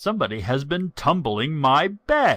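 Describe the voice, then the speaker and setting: A growling, cartoonish character voice from a man, fairly high in pitch, on a very clean recording with a silent background. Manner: grumbling.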